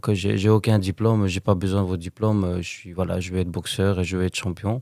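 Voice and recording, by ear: A man talks at a fairly quick pace with a low pitch and little pitch movement. His tone is slightly mellow.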